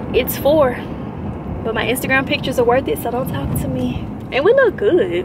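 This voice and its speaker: Noticeable background noise runs under a woman speaking at a moderate pace with long, frequent pauses, the sound dry with no echo. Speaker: lifestyle vlogger. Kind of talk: casual vlog chat. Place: car. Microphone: phone near.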